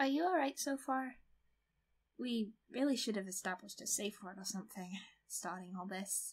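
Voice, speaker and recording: Playful and somewhat breathy, a woman with a fairly high pitch uses lively intonation, big swings in loudness, and long, frequent pauses. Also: moderate pace. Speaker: ASMR creator. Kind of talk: asmr roleplay. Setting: close-mic, one-to-one roleplay in a bedroom. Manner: soft, playful, teasing, giggly; intimate, slightly possessive yandere act.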